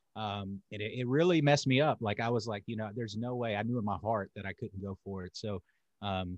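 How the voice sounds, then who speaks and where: A man with a slight Southern US accent talks at a moderate pace with fairly even intonation over a quiet background. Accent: Southern US, slight country twang. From US South, North Carolina. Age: 30s. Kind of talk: casual interview chat.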